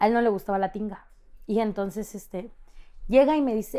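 A woman speaks at a fairly high pitch with ordinary pitch variation and a dark, mellow tone. The background is quiet. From Mexico. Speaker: content creator. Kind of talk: casual chat. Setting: studio. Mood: animated, storytelling. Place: studio.

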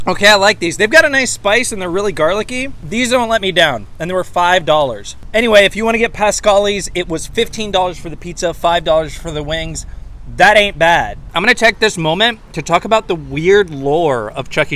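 In a bright, sharp tone, a man uses a raised, projected voice at a fairly quick pace with hardly any pauses, the sound dry with no echo. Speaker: pop culture vlogger. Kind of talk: casual vlog chat. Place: street. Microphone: handheld.

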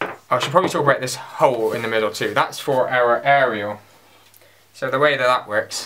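The voice moves at a moderate pace. Noticeable background noise runs underneath. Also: man. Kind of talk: casual show-and-tell tutorial. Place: home room. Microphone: camera far.

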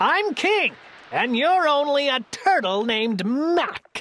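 A woman bellows in a put-on character voice, high-pitched with a fairly bright tone. She speaks at a slow pace with big pitch swings.

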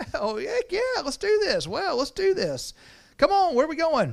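The speaker puts on a character voice with an Alabama accent at an extremely high pitch. The delivery moves at a moderate pace. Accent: southern American, Alabama. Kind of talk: sermon. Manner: enthusiastic, casual. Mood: amused, smiling.

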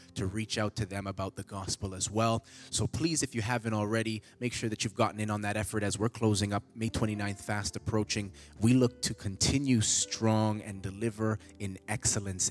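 With faint music in the background, a man talks at a moderate pace in a fairly low pitch, his intonation monotone and flat. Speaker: church announcer. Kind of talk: church announcements. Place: church. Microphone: handheld.

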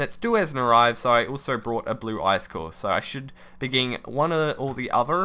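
A man's bright, sharp voice with big pitch swings at a fairly quick pace. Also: medium pitch for a man.

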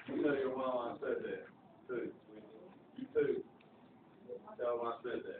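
A man with a Southern US accent talks at a moderate pace through loud background noise and audible room echo. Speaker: high school math teacher. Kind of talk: classroom lecture. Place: classroom. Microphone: camera far.

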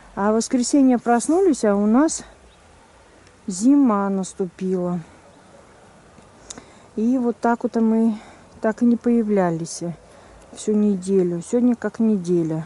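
A woman speaks at a very slow pace with long, frequent pauses and ordinary pitch variation. The sound is dry, with no echo. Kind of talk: casual vlog chat. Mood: calm, mildly surprised. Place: garden. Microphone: phone near.

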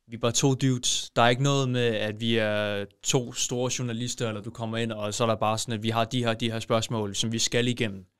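A man at a fairly quick pace with hardly any pauses and monotone, flat intonation, in a very clean recording with a silent background. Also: medium pitch for a man. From Denmark, Kolding. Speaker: podcast host. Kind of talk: casual chat.

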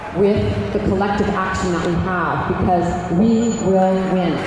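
The clip has noticeable background noise and strong room echo. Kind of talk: rally speech. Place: street. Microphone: camera far.

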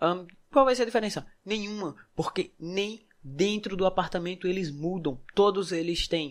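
An animated man at a moderate pace, high-pitched for a man, with ordinary pitch variation. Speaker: gaming youtuber. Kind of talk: tutorial. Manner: casual, animated.

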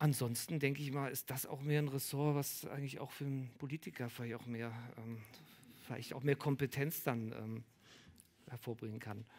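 A man at a moderate pace with fairly even intonation and long, frequent pauses. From Berlin. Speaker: artist; guest. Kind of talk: public Q&A discussion. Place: bar. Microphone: headset.

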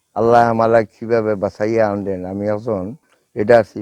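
A man's fairly low voice, dark and mellow, in a flat monotone, with a dry, close sound, no echo and a quiet background. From Sylhet, Bangladesh. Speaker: war veteran. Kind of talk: testimony.

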